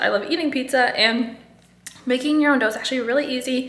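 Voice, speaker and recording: High-pitched female speech, with noticeable background noise and audible room echo. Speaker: food photographer vlogger. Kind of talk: casual vlog.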